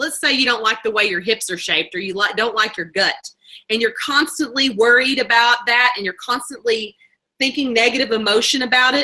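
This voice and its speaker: A woman's fairly high-pitched voice with a bright, sharp tone. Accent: Southern US. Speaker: network marketing leader. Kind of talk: motivational talk. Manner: fast.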